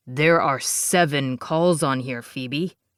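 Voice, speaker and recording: In a put-on character voice, a man talks very slowly at a fairly high pitch with fairly even intonation. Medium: read story. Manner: firm, insistent.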